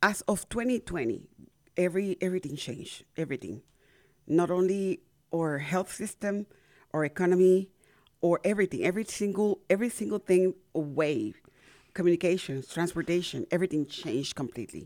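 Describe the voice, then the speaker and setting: On a very clean recording with a silent background, a woman with a Spanish accent speaks fairly quickly at fairly low pitch, her intonation lively. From Panama. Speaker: community radio host and organization founder. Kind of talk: casual radio interview. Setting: radio studio.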